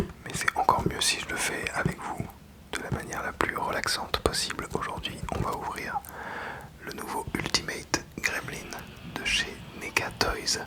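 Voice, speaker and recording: A man whispers at a fairly slow pace with long, frequent pauses over noticeable background noise. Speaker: ASMR toy unboxing channel host. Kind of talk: ASMR unboxing and toy review, casual talk to camera. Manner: soft-spoken, whispered, relaxing.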